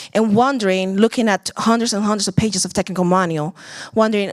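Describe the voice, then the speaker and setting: A woman speaks with a Puerto Rican accent. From Puerto Rico. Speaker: startup founder and CEO. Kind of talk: conference pitch talk.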